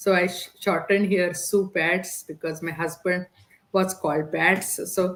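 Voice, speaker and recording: A woman's medium-pitched voice at a fairly slow pace, with a non-native accent and flat, monotone intonation. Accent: foreign. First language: Indian language (English is third). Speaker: digital business entrepreneur. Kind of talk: podcast interview.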